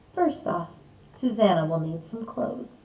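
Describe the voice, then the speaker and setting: A woman at a medium pitch performs in a put-on character voice. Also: moderate pace. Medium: read story.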